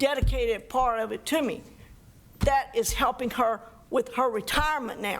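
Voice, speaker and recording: This woman has a high voice and an American accent, with ordinary variation in her pitch. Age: 60s. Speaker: library instructor, public commenter. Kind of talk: public comment at council meeting. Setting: council meeting.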